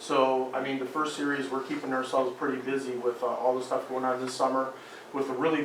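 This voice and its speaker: A man speaks very fast in a monotone, flat intonation, with audible room echo and noticeable background noise. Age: 50s. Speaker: school superintendent. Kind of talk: board meeting discussion. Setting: school board meeting.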